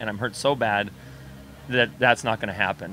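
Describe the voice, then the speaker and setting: A man with an American accent talks at a fairly quick pace, the sound dry with no echo over light background noise. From Idaho, US. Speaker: triathlete; interviewee. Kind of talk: interview. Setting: restaurant on location. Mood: calm, reflective. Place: cafe. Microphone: handheld.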